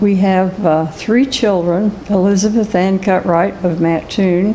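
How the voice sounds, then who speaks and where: Against noticeable background noise, a woman at medium pitch speaks fairly slowly with very even loudness. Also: fairly even intonation. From US Midwest, rural Cumberland County, Illinois. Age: 80s+. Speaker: local historian. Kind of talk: oral history interview.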